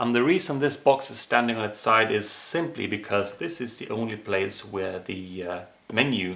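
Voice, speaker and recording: The delivery has a moderate pace and ordinary pitch variation. Audible room echo is present. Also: man. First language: not English. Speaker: ration reviewer, video creator. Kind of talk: product review monologue. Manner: casual, some hesitations.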